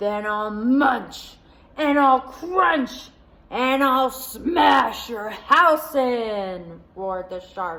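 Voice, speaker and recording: A woman bellows in a put-on character voice, high-pitched and very slow. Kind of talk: children's story time read-aloud. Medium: read story. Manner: roaring.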